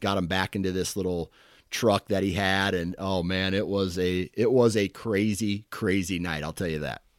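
A man with a fairly low pitch and an unremarkable speaking voice talks at a moderate pace with fairly even intonation, the sound dry and close with no echo. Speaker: hunting podcast host. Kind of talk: casual interview.

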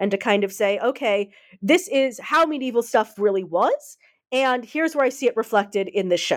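A woman with an American accent speaks at a moderate pace in a fairly high voice, her loudness very even throughout. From United States. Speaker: author and academic researcher. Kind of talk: interview about her book. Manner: halting with many fillers.

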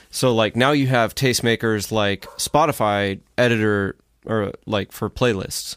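A man with an unremarkable speaking voice talks at a medium pitch. His pace is fairly slow and his intonation fairly even. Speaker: musician. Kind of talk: casual chat.

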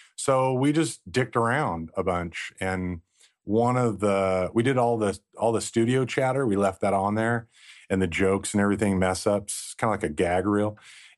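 A man with a fairly low pitch talks at a moderate pace, with ordinary pitch variation and very even loudness. He has an unremarkable speaking voice against a quiet background. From Southern California coast. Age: 40s. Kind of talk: casual chat.

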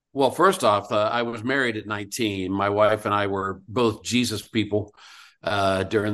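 Over a quiet background, a man with a fairly low pitch talks at a moderate pace in a monotone, flat intonation. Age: 70s. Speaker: singer-songwriter and author. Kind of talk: casual interview chat.

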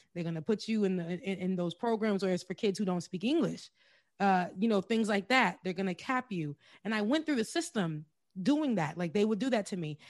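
Against a quiet background, a woman with a plain, everyday voice speaks at a medium pitch and fairly quick pace with lively intonation. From US, Haitian immigrant family. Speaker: journalist and show host. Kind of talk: interview.

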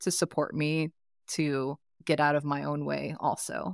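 A woman with a very deep, low pitch and a Californian accent is heard in a very clean recording over a silent background, dry and close with no echo. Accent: Californian American. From US West Coast, East Bay (Oakland). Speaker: life coach. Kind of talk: interview conversation.

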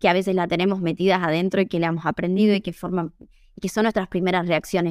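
A woman at a medium pitch and a very fast pace, in a very clean recording with a silent background and a dry, close sound with no echo. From Argentina, Tucumán. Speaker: Italian teacher and translator. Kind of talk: interview.

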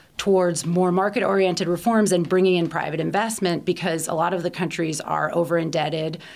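The pace runs fairly quick. This speaker talks with an American accent. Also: woman. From US, Baltimore. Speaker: energy policy expert. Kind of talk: interview.

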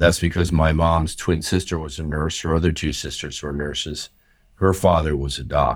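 Vocal fry and fairly even intonation in an American accent, at a moderate pace, on a very clean recording with a silent background. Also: man, very deep, low pitch for a man. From US, central New Jersey. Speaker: urology professor. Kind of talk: interview.

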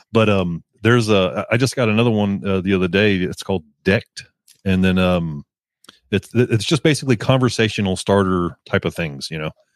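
Fairly quick and fairly low, a man talks in a Texan accent with ordinary pitch variation. The sound is dry and close, with no echo. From Texas. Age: 40s. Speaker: motorcycle videographer and podcaster. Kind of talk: casual chat. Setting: video call. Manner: halting, many fillers.

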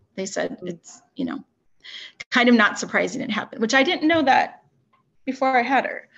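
A woman speaks at a moderate pace. Her voice has vocal fry. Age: 40s. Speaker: educator and mental health advocate. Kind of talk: casual interview. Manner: halting.

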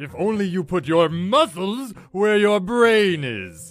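Faint music plays behind a man whose pitch is high. He speaks at a fairly slow pace with lively intonation. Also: big swings in loudness. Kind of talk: comic overacting. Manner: pompous, grandiose.

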